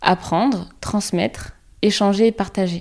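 A woman's dark, mellow, medium-pitched voice with ordinary pitch variation, on a very clean recording with a silent background. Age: 30s. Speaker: psychologist and podcast host. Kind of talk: scripted podcast monologue.

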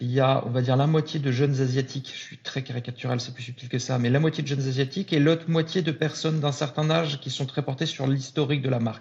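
A man speaks very fast in a fairly high, somewhat breathy voice, with hardly any pauses. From northern France (Lille). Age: 40s. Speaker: entrepreneur. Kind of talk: casual interview chat.

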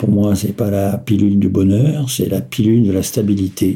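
A man's dark, mellow voice at a fairly slow pace. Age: 60s. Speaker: retiree living with bipolar disorder. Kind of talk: personal testimony. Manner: halting, with frequent hesitations.

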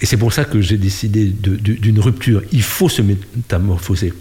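The speech has ordinary pitch variation against noticeable background noise. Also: man. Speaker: NGO director and former politician. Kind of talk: interview. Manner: hesitant with fillers.

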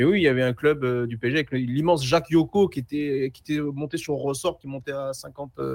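Using a plain, everyday voice, a man talks at a fairly quick pace with hardly any pauses. His pitch is fairly high and fairly even, while his loudness swings a lot. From Seine-Saint-Denis, France. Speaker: sports journalist. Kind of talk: casual chat. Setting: remote connection.

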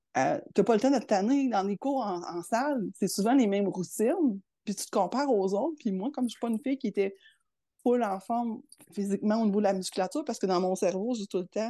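A woman's fairly high, dark, mellow voice with a Quebec accent, fairly quick, with ordinary pitch variation over a quiet background. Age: 50s. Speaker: public service manager. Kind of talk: interview.

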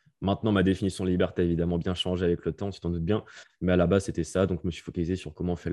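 A man talks at a very fast pace in a very deep, low pitch with monotone, flat intonation. The background is quiet. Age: 20s. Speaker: online entrepreneur. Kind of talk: casual interview.

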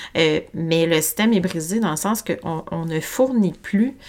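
A woman speaks with a Quebec accent at a very slow pace, her intonation lively. The recording is very clean, with a silent background. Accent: Québécois French. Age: 40s. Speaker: holistic health coach and podcast host. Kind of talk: solo podcast monologue. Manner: spontaneous, casual with fillers; animated, gesticulating.

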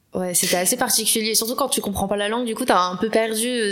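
A woman talks very fast with fairly even intonation. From Paris. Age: 20s. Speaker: communications professional. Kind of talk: casual chat.

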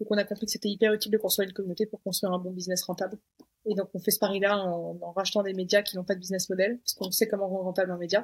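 A woman's somewhat breathy, medium-pitched voice at a very fast pace, monotone and flat in intonation. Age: 20s. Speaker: media founder. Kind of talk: casual chat.

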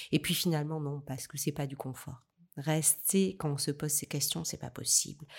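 On a very clean recording with a silent background, a woman speaks in a very deep, low pitch at a moderate pace. Her voice is somewhat breathy, with monotone, flat intonation. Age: 50s. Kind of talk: interview. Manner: halting.

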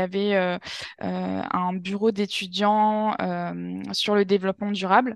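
At a very slow pace, a woman speaks with a medium-pitched voice. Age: 20s. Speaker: yoga teacher and climate workshop facilitator. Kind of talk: interview. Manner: halting, many fillers and repetitions.

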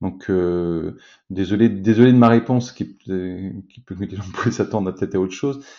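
With big swings in loudness, a man speaks at a moderate pace in a very deep, low pitch with ordinary pitch variation. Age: 40s. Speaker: business executive and company co-founder. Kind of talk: interview. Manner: halting, many repetitions and fillers.

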